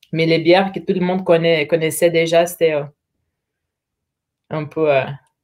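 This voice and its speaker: This woman talks at a moderate pace in a fairly low pitch, her intonation monotone and flat. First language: Portuguese (speaking French). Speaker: brewery representative. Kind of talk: casual interview chat. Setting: live stream.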